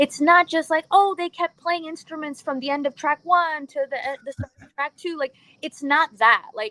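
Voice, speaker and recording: A woman uses a raised, projected voice with a high pitch and a bright, sharp tone, her pitch varying in an ordinary way and her loudness swinging widely. She barely pauses, and the sound is dry and close with no echo. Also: moderate pace. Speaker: music commentator. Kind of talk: casual chat.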